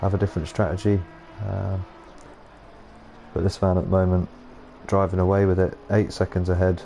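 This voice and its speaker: Music plays in the background. A man talks in a very deep, low pitch with fairly even intonation. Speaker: sim racing commentator. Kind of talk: live commentary. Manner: monotone.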